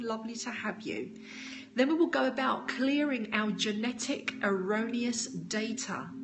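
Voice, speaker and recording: A high-pitched woman with a British accent at a fairly slow pace, her intonation fairly even, amid noticeable background noise and audible room echo. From United Kingdom. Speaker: spiritual teacher. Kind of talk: live stream talk with viewer questions.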